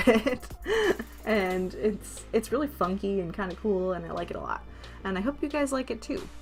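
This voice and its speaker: Someone with an American accent talks at a fairly quick pace while music plays in the background. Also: woman. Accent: Wisconsin accent, shows at times. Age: 20s. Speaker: gaming YouTuber, grad student. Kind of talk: casual chat over speed build. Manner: halting, many fillers.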